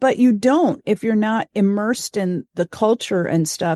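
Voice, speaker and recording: The speaker has an American accent and a dark, mellow tone, talking at a moderate pace in a dry, close sound with no echo. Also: woman, quiet background. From West Germany (Frankfurt), then US. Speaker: church leader. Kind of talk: interview. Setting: podcast.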